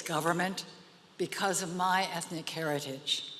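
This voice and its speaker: Over noticeable background noise, a woman with an American accent speaks at a fairly slow pace with a medium pitch. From United States, Virginia. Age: 80s+. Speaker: arts leader, award honoree. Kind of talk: award acceptance speech.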